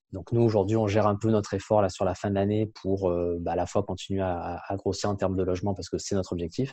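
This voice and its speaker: Very fast and monotone, a man talks with flat intonation at a fairly low pitch. His tone is dark and mellow, and the background is quiet. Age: 30s. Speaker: company founder. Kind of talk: interview.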